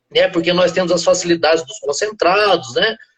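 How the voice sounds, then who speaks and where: A man's high voice with a slight southern Minas Gerais accent. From southern Minas Gerais, Brazil. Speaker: veterinarian and animal nutrition expert. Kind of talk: interview on a live stream. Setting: live video call. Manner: hesitant, frequent filler words.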